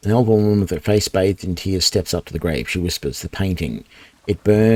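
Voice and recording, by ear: Someone is reading aloud in a natural voice. The intonation stays fairly even.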